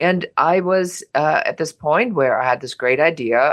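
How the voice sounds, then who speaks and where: In a German accent, a woman speaks with ordinary pitch variation. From Germany. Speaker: business coach and entrepreneur. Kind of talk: personal business story.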